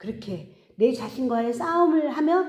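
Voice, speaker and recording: A woman talks at a fairly slow pace, her pitch swinging very widely. Audible room echo surrounds her voice. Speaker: pastor. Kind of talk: sermon.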